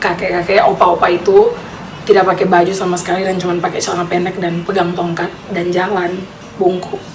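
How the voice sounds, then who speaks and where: With noticeable background noise and audible room echo, a woman speaks at a very fast pace in a medium pitch and a monotone, flat intonation. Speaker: vlogger. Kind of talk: personal storytelling. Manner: casual.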